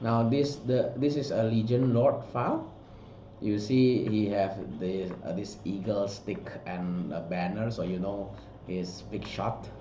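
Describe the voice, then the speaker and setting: A man with a non-native accent speaks fairly slowly at a fairly low pitch. Audible room echo and noticeable background noise fill the recording. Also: ordinary pitch variation. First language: not English. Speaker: art director and sculptor. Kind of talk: product walkthrough. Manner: halting, many fillers.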